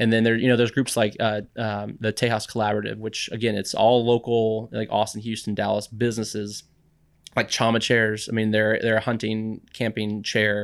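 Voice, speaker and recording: In an American accent, a man speaks at a moderate pace with monotone, flat intonation. The recording is very clean, with a silent background. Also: fairly low pitch for a man. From Texas, San Antonio. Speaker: parks foundation engagement manager. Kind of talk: interview. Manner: halting.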